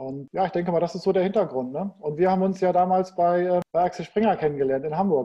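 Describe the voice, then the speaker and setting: A very fast pace with hardly any pauses. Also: man, high pitch for a man, ordinary pitch variation. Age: 40s. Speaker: e-commerce entrepreneur. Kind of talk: casual interview.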